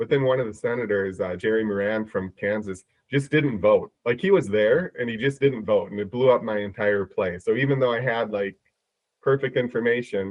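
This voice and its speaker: A man talks at a moderate pace and medium pitch, with ordinary pitch variation. He has a Midwestern accent. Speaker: prediction market trader. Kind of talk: casual podcast chat. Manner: halting, many repetitions.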